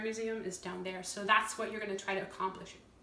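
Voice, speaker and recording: Audible room echo and noticeable background noise surround the recording. A woman speaks at a fairly high pitch. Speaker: singer-songwriter and artist explaining a board game. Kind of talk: tutorial. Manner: fast; casual, with many fillers.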